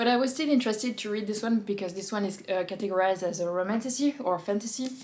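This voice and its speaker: A woman speaks in an ordinary speaking voice at a fairly quick pace. Her pitch variation is ordinary. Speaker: book reviewer. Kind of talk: casual book review monologue.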